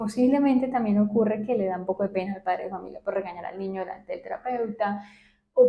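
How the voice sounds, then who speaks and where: The speech goes at a very fast pace with fairly even intonation. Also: woman. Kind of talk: professional, explaining to an audience.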